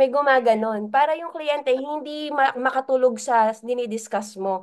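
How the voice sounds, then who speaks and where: Her voice is high-pitched, and the woman talks at a moderate pace with ordinary pitch variation. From Philippines, Laguna. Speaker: business mentor. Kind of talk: training talk.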